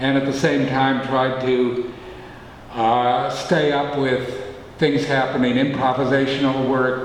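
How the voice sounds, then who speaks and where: Amid noticeable background noise and audible room echo, a man speaks at a medium pitch and fairly slow pace, in monotone, flat intonation with very even loudness. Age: 70s. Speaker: poet. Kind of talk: casual chat. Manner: halting, many fillers.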